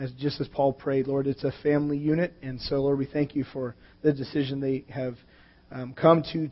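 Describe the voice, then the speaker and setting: His intonation monotone and flat, a man talks at a moderate pace. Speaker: pastor. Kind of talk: sermon. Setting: church.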